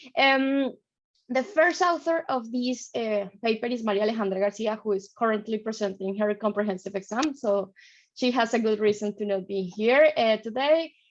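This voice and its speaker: This woman talks at a moderate pace with a Colombian accent and a fairly high pitch. Her pitch varies in an ordinary way over a quiet background. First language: Spanish. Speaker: PhD student presenter. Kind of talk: conference presentation.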